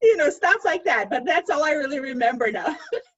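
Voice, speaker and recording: A slight Russian accent at a moderate pace. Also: woman. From Russia, Moscow. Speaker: author. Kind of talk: panel discussion. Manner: halting, many fillers.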